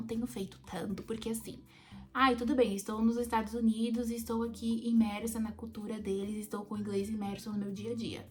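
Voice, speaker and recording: A woman speaking fairly quickly in a fairly high pitch, with noticeable background noise. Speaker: au pair vlogger. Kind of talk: casual vlog. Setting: in bed at home.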